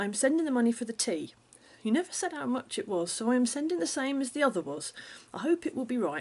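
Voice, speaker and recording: A woman at a fairly quick pace, with a fairly high pitch and very wide pitch swings. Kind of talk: letter reading.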